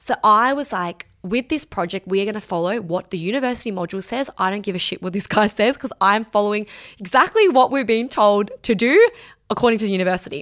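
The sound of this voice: Fast, lively woman's speech with few pauses, medium pitch and a fairly bright tone, on a very clean recording with a silent background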